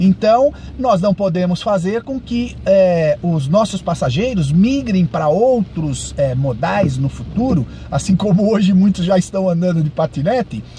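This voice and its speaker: A man's high-pitched voice with very wide pitch swings, a fairly slow pace, and noticeable background noise. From Brazil, São Paulo. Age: 60s. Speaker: ride-hailing driver and vlogger. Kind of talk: monologue vlog commentary. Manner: halting, many fillers.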